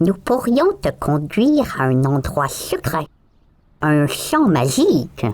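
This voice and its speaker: Using a put-on character voice, a man speaks at a fairly slow pace and a fairly high pitch. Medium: read story. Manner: sly, wheedling.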